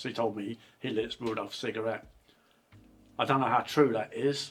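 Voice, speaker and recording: A man's fairly quick, monotone, flat delivery with an English accent, music in the background. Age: 60s. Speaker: channel host's father. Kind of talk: casual chat. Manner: halting.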